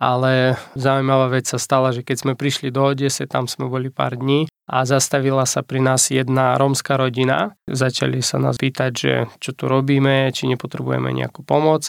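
A man speaks with monotone, flat intonation and a slight Ukrainian accent. The sound is dry and close, with no echo. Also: medium pitch for a man, moderate pace. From Ukraine. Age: 30s. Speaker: pastor. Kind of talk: testimony. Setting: studio.

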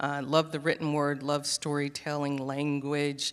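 A woman with an American accent, very deep and low in pitch, at a moderate pace over a quiet background. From US South, Charleston, South Carolina. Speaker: newspaper editor. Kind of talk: panel interview.

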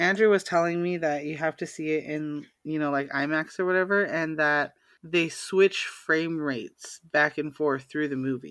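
A woman's very deep, low pitch, with fairly even intonation, hardly any pauses and a quiet background. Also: moderate pace. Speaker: podcast co-host. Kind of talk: casual chat.

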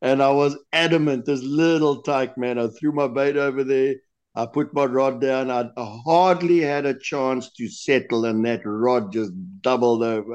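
Here is an ordinary speaking voice with ordinary pitch variation. The pace is fairly slow. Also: man, medium pitch for a man. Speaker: lure designer guest. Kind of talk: interview answers, casual chat.

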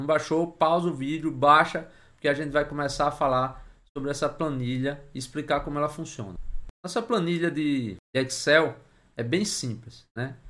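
Bright, sharp tone from a man pitched fairly high. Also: ordinary pitch variation, moderate pace. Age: 30s. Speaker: investor and finance YouTuber. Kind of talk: tutorial.

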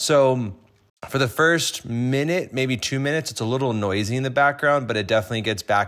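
The recording is very clean, the background silent. A man with an unremarkable speaking voice talks at a fairly quick pace with lively intonation. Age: 20s. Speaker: podcast host. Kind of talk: casual chat.

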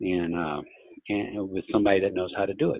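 At a fairly quick pace, a man with a Louisiana accent speaks in a fairly low pitch. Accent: Louisiana Southern US. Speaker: orthopedic surgeon. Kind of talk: interview.

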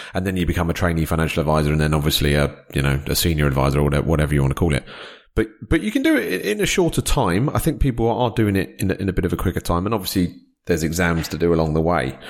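With a British accent, a man speaks at a very fast pace in a very deep, low voice with vocal fry and ordinary pitch variation. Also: very even loudness. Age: 40s. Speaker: financial adviser and podcast host. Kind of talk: interview conversation. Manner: halting, many fillers.

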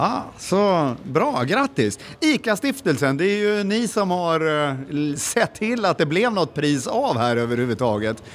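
Very wide pitch swings at a fairly slow pace, with very even loudness. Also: man, high pitch for a man. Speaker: podcast co-host interviewing at a conference. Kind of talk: casual on-site interviews. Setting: conference venue with crowd.

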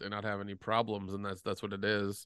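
Against a quiet background, a man talks at a fairly quick pace in a bright, sharp tone. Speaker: producer and co-host. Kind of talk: casual chat. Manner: halting, rambling, filler-heavy.

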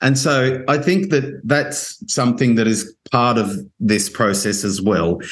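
Lively intonation marks this man's medium-pitched voice with an Australian accent, delivered at a fairly slow pace and very even loudness. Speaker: podcast host. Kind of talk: interview conversation.

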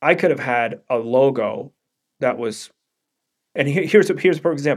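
A fairly high-pitched man with a New York accent, at a moderate pace and with ordinary pitch variation. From Brooklyn, New York. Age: 40s. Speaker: brand strategist, former DJ. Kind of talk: interview. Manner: halting, many fillers.

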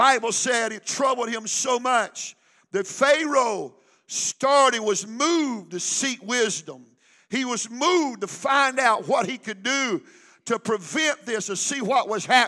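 A man speaks in a raised, projected voice at an extremely high pitch with ordinary pitch variation, a bright, sharp tone and an animated tone. He talks at a fairly slow pace in a very clean recording with a silent background. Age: 60s. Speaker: pastor. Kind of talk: sermon.

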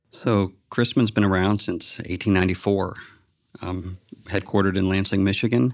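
The intonation stays fairly even throughout a very clean recording with a silent background. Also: man, moderate pace. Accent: American. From Texas. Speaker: construction manager. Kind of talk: interview. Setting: on-site office.

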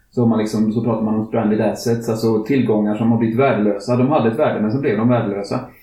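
A man speaks at medium pitch at a very fast pace, barely pausing, with flat, monotone intonation. His loudness stays very even, and the room echo is audible. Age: 50s. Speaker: climate activist podcast host. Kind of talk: casual chat.

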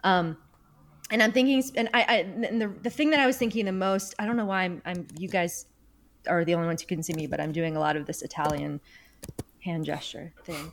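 At a fairly quick pace, a woman with a medium-pitched voice speaks with lively intonation and long, frequent pauses. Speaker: podcast host. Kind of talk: casual chat.

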